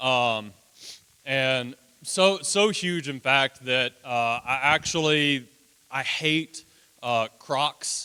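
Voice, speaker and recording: Loud and at a very slow pace, a man with a medium pitch and ordinary pitch variation speaks in a bright, sharp tone, leaving long, frequent pauses. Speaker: children's ranch houseparent. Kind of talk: presentation to congregation. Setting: church.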